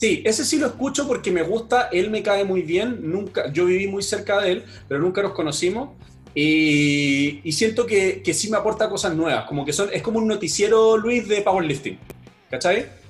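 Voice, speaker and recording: Speaking in a high pitch, the man uses lively intonation. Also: moderate pace. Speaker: powerlifting athlete and podcaster. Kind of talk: casual chat.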